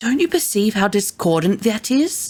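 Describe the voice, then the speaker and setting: In a put-on character voice, a woman talks at a moderate pace and a medium pitch, with very wide pitch swings. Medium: read story. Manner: intense, emotional.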